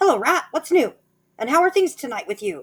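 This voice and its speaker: This is a put-on character voice pitched high. It moves along at a fairly quick pace. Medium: read story.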